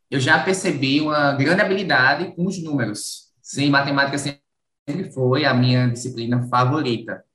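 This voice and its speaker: A man's fairly high-pitched voice, bright and sharp in tone, with ordinary pitch variation and a fairly slow pace. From Brazilian Northeast, rural Alagoas. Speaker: university mathematics professor. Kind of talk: radio interview.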